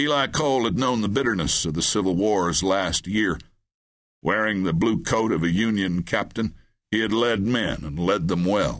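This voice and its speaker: In a quiet background, a man with an unremarkable speaking voice talks in a fairly low pitch with ordinary pitch variation. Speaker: audiobook narrator. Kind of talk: dramatic audiobook narration of a western. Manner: steady, slow, brooding and atmospheric.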